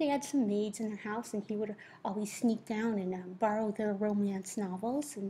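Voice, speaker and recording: A woman with a fairly high pitch talks at a moderate pace over noticeable background noise. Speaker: teacher. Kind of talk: lecture. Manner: careful articulation; hesitant, many fillers.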